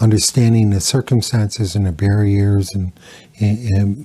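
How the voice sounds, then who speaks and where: A man's fairly low, somewhat breathy voice, dark and mellow in tone, at a fairly slow pace with fairly even intonation. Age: 60s. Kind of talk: interview. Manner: halting, many fillers.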